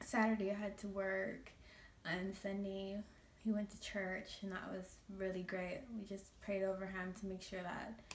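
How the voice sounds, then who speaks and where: A woman's voice is shaky, with monotone, flat intonation. Noticeable background noise is present. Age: 20s. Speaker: makeup artist. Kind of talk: casual talk to camera.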